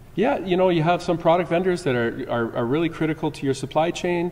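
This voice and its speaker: A man speaks with a Canadian accent and ordinary pitch variation. Background noise is noticeable. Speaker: security conference presenter. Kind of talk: conference talk. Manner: halting, many repetitions.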